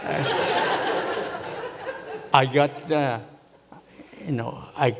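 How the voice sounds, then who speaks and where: At a very slow pace, a man with a Japanese accent talks at medium pitch. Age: 80s+. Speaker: minister. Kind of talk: testimony. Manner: halting.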